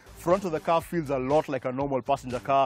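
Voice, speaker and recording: A man talks at a fairly quick pace with ordinary pitch variation. The sound is dry with no echo, over light background noise. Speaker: TV car show co-host. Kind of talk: car review presentation. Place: open country.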